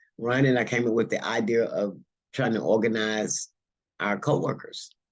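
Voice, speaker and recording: A man speaks at a moderate pace and medium pitch in a normal speaking voice, his intonation fairly even. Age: 60s. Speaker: union organizer, warehouse worker. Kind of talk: panel discussion. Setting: virtual conference.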